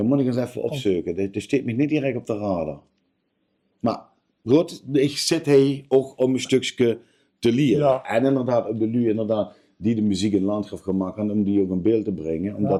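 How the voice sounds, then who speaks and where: The man speaks at a medium pitch and a moderate pace. His tone is dark and mellow. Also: ordinary pitch variation. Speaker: interviewer, local music streaming project host. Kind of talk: interview questions.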